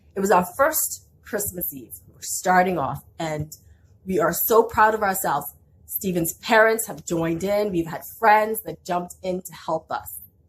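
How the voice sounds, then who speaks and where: A woman talks at a fairly slow pace in a somewhat breathy, medium-pitched voice. Her intonation is lively. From outside Canada (immigrant). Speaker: small business owner. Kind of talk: vlog storytelling with business tips.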